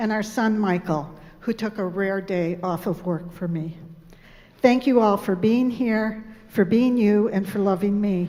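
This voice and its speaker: Her voice dark and mellow, a woman talks fairly slowly at a medium pitch with ordinary pitch variation. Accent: American. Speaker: pediatrician. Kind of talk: speech.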